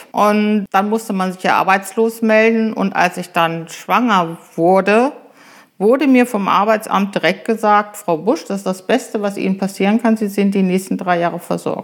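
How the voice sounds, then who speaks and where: A woman speaks with an unremarkable speaking voice at a moderate pace. Her intonation stays fairly even. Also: medium pitch for a woman. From Eichsfeld, Lower Saxony, Germany. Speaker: village mayor and chemist. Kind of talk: interview.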